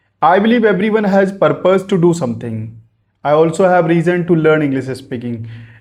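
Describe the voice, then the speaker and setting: Speaking with a North Indian accent, a man uses a fairly high pitch, lively intonation and a moderate pace. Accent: Indian English (Hindi-speaking north India). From Ayodhya, India. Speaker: businessman learning English. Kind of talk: casual talk to camera. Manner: hesitant, halting with fillers.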